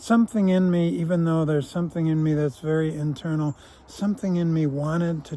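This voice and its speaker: A man talks at a fairly quick pace in a plain, everyday voice, fairly high in pitch, with fairly even intonation. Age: 60s. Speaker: vlogger, former prisoner. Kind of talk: reflective monologue. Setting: outdoors on a walk.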